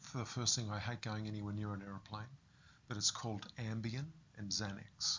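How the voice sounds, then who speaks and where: A man with an Australian accent speaks at a fairly quick pace in a fairly low pitch, his intonation monotone and flat. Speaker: fitness business owner with Parkinson's. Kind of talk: interview.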